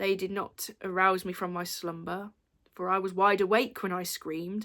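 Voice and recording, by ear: The background is quiet. Someone reads aloud in a natural voice.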